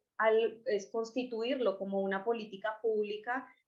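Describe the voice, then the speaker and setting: At a fairly slow pace, a woman speaks with a Colombian accent. Her pitch sits fairly high. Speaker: scientist presenting a testing kit. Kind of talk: webinar presentation. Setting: online webinar.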